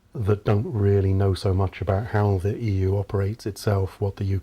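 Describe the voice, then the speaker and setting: A man with a British accent speaks in a fairly low, dark, mellow voice that is somewhat breathy. His intonation is monotone and flat, on a very clean recording with a silent background. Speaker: professor. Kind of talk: interview. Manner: formal.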